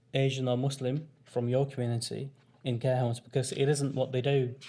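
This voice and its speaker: A soft-spoken man at medium pitch and moderate pace, somewhat breathy, dark and mellow in tone, with monotone, flat intonation on a very clean recording with a silent background. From northern England, Rochdale near Manchester. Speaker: community health founder and former carer. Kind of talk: conference workshop presentation. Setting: conference room with audience. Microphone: too quiet at first, mic adjusted.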